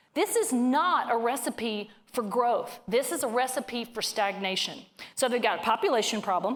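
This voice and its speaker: A woman with a Southern US accent, high-pitched and animated, with lively intonation at a moderate pace amid noticeable background noise. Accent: hillbilly accent (self-described). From northern Louisiana. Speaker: economist speaker. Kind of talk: keynote talk to live audience. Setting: stage with audience.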